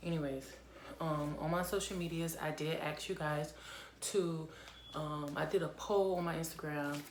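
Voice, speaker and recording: A woman's very deep, low voice comes at a moderate pace with long, frequent pauses and monotone, flat intonation. Noticeable background noise and audible room echo fill the recording. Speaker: vlogger. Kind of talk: casual chat.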